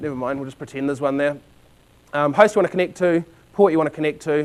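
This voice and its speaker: A man with a New Zealand accent speaks at a very fast pace. His pitch is fairly high, with ordinary variation. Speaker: conference speaker. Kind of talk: technical presentation. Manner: halting, many fillers.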